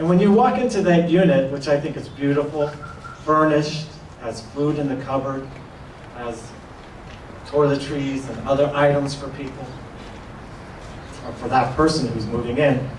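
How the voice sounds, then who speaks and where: With audible room echo and noticeable background noise, a man speaks with ordinary pitch variation, big swings in loudness and long, frequent pauses. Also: fairly high pitch for a man, moderate pace. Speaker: housing authority official. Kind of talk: ceremony speech. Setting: grand opening event with audience.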